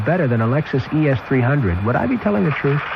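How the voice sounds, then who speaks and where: Noticeable background noise sits behind a voice whose pitch swings very widely. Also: man. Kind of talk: radio commercial read.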